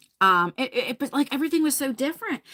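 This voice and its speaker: A woman with an American accent and a bright, sharp tone speaks with very wide pitch swings. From New Jersey. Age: 40s. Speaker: beauty YouTuber. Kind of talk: livestream chat. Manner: casual, halting with many fillers.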